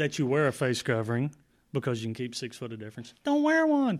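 A man speaks with a Texan accent. The recording is very clean, the background silent. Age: 50s. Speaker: county judge. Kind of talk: casual interview. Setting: courtroom.

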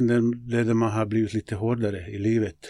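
A man with a medium-pitched voice speaks fairly slowly in a flat monotone. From Bosnia, former Yugoslavia. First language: Bosnian (speaking Swedish). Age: 50s. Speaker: local politician and youth football coach. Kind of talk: interview conversation. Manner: hesitant, many fillers.

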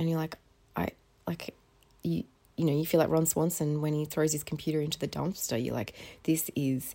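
In an Australian accent, a woman with a very deep, low pitch and a dark, mellow tone talks at a fairly quick pace. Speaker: podcast host. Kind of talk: casual chat. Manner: halting.

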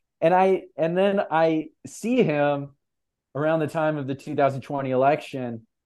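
A man with an American accent and an unremarkable speaking voice, fairly high in pitch, at a moderate pace with ordinary pitch variation, against a quiet background. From US West Coast. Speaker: publisher and writer. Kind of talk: casual chat.

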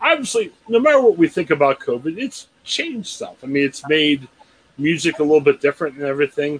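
Heard dry and close with no echo, a man with an American accent uses an ordinary speaking voice, talking fairly quickly at a fairly high pitch with lively intonation. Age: 40s. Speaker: podcast host. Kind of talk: casual interview chat.

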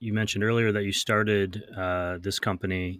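This man speaks with an American accent at a fairly quick pace. His pitch is fairly low and his intonation flat and monotone. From US Midwest. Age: 40s. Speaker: podcast host. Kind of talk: interview. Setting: remote call.

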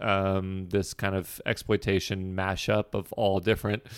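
A man with an unremarkable speaking voice talks at a fairly slow pace and fairly low pitch, in a very clean recording with a silent background. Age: 30s. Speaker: podcast host, film fan. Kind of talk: casual film review chat.

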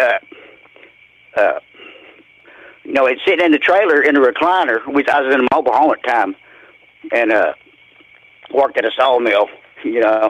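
A man at a fairly quick pace with long, frequent pauses, over noticeable background noise. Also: fairly high pitch for a man, ordinary pitch variation. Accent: Southern US. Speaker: caller. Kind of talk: testimony. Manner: halting.

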